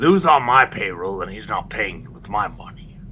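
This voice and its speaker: Over clear background noise, a man does a raspy, put-on character voice at medium pitch and a moderate pace, with very wide pitch swings and big swings in loudness. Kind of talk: tongue-in-cheek villain roleplay. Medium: game stream. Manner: haughty, bossy.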